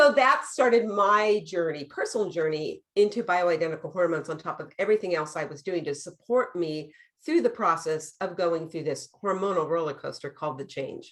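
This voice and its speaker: A woman speaks in a normal speaking voice at a fairly quick pace. Her pitch is fairly low and her intonation lively. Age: 60s. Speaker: nurse practitioner and hormone expert. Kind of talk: interview.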